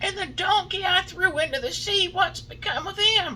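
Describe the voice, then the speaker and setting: A gruff, put-on character voice from a man, pitched extremely high, at a moderate pace over clear background noise. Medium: read story. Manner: gruff, irritable.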